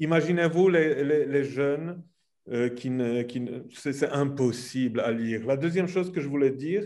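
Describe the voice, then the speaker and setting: Audible room echo carries a man's dark, mellow voice, fairly high in pitch and fairly slow in pace. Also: ordinary pitch variation. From Poland. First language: Polish (speaking French). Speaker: theatre centre director. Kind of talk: panel discussion.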